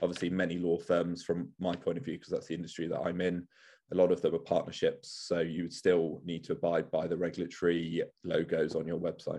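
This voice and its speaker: A man's very deep, low voice with a dark, mellow tone, fairly even intonation and a fairly quick pace against a quiet background. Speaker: lawyer. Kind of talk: webinar presentation.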